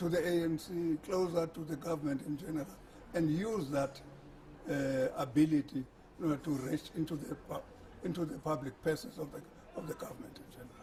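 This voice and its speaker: A man with a fairly high pitch talks at a fairly quick pace, with big swings in loudness and long, frequent pauses. Noticeable background noise runs underneath. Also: ordinary pitch variation. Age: 70s. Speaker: former government minister. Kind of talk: interview answer.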